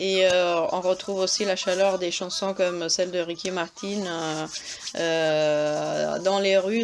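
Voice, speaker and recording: A woman's fairly low voice in an Italian accent, fairly even in intonation, with noticeable background noise. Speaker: travel vlogger. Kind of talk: travel guide narration. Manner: hesitant, many fillers.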